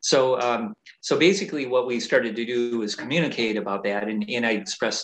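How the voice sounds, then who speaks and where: A man talks at a fairly quick pace with an unremarkable speaking voice. His pitch sits in the medium range and varies in an ordinary way. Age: 50s. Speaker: fitness coach. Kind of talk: casual interview.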